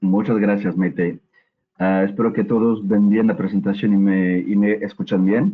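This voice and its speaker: Speaking at a fairly slow pace, a man with a fairly low pitch keeps his intonation fairly even. His loudness stays very even. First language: French (speaking Spanish). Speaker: HR assessment company manager, webinar presenter. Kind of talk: webinar presentation. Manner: hesitant with frequent fillers.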